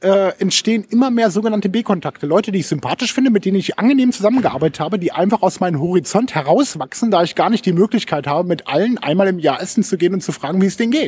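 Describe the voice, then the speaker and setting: At a very fast pace and with hardly any pauses, a man speaks in a high pitch with lively intonation. His loudness stays very even, and the sound is dry and close with no echo. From Lower Saxony, Germany (Hameln). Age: 40s. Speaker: social media consultant and blogger. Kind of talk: casual interview. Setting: studio in Berlin.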